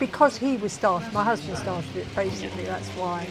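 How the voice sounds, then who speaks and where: A woman speaks at medium pitch. Noticeable background noise sits behind her. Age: 80s+. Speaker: model railway hobbyist. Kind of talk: interview. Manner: halting.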